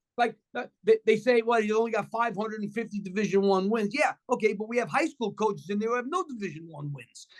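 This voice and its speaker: Talking at a very fast pace, a man with a New York accent uses a high pitch and ordinary pitch variation. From New York City, Washington Heights. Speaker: former college basketball coach, TV basketball analyst. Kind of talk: casual chat.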